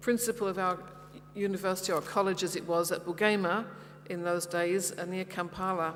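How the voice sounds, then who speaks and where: At a fairly quick pace, a woman with a London accent talks at a medium pitch. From London, England. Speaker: pastor's wife giving mission talk. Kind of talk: personal testimony talk. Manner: hesitant, with many fillers.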